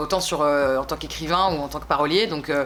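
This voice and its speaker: Over music in the background, a woman speaks at a very fast pace with ordinary pitch variation. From France, Bordeaux. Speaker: singer. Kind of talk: interview. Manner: hesitant, many fillers.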